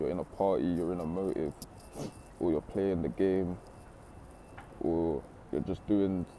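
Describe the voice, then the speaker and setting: This man's voice has a very deep, low pitch, a dark, mellow tone and fairly even intonation. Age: 20s. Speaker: motivational speaker. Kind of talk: motivational talk. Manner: casual, conversational.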